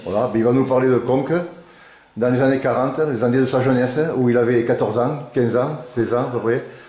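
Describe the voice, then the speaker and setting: In a room with audible echo, a man talks at a fairly quick pace with monotone, flat intonation and very even loudness. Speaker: interviewer and filmmaker. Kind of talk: interviewer questions. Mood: warm, relaxed. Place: home room.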